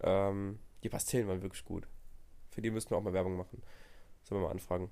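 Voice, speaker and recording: A man speaks in a dark, mellow tone. The recording is very clean with a silent background. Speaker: podcast co-host. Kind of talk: casual chat.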